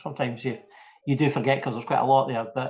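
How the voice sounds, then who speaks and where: With a Scottish accent, a man speaks at a fairly high pitch. His voice is somewhat breathy. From Scotland, Fife. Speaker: small business owner. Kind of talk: interview.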